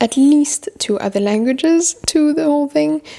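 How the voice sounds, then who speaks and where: Speaking at a moderate pace in a French accent, a woman uses a dark, mellow tone with very wide pitch swings. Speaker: book vlogger. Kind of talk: casual chat. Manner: casual, with fillers and repetitions.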